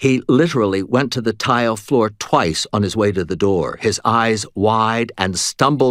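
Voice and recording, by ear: The speaker reads aloud in a natural voice with ordinary pitch variation.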